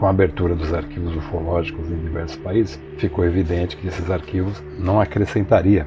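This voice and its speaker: Music plays in the background as a man speaks with a very deep, low pitch. His pace is moderate and his pitch variation ordinary. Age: 60s. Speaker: author and ufology enthusiast. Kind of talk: interview.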